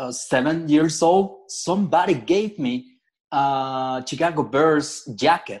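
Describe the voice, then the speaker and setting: A man with a Spanish accent at a very slow pace. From Mexico, Monterrey. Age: 40s. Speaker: fan club member. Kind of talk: interview. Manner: halting.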